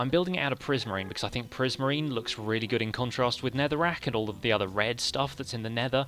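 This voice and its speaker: Very fast and bright, sharp in tone, a man speaks at a medium pitch with an English accent. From England. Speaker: gaming streamer. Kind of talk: live stream commentary.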